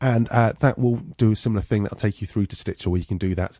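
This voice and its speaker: A somewhat breathy, dark and mellow voice with an English accent, dry and close with no echo. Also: man, very clean recording, silent background. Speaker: podcast host. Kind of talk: podcast intro.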